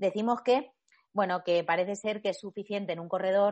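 Here a woman has a plain, everyday voice at medium pitch. She moves at a fairly quick pace with fairly even intonation. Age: 30s. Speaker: sports nutritionist and trail runner. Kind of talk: casual interview.

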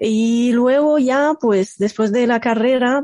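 With an Egyptian accent, a woman speaks in a dark, mellow tone, the sound dry and close with no echo. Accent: non-native Spanish, Egyptian Arabic. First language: Arabic (speaking Spanish). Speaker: computational linguist. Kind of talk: casual interview. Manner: hesitant, many fillers.

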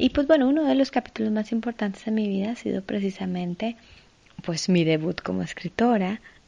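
Somewhat breathy, a woman with a dark, mellow tone and lively intonation speaks at a moderate pace. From Colombia, Ibagué. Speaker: actress and podcast host. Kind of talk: inspirational monologue.

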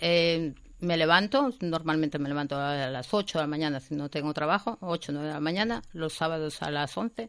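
With hardly any pauses, a woman talks at a moderate pace in a very deep, low voice over a quiet background. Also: ordinary pitch variation. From Spain, Galicia (Vigo). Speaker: event organiser. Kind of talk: casual chat.

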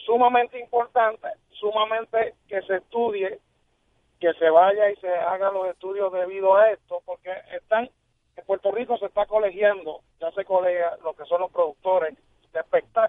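With big swings in loudness, a man speaks in a high voice at a moderate pace and with fairly even intonation. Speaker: television producer. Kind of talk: radio interview. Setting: phone call.

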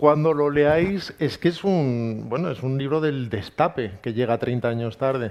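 Barely pausing, a man with a plain, everyday voice speaks at a medium pitch with ordinary variation. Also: fairly slow pace. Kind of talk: live book presentation interview.

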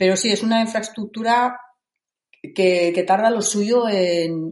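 A woman's pitch varies in an ordinary way as she talks fairly slowly. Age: 50s. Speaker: rock climber. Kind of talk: interview. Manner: halting.

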